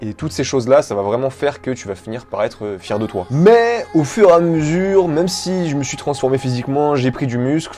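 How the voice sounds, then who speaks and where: With lively intonation, a man talks while music plays in the background. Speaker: fitness YouTuber. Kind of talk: vlog monologue.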